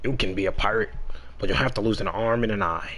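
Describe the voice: A man speaks very fast in a put-on character voice at a medium pitch, with clear background noise behind him.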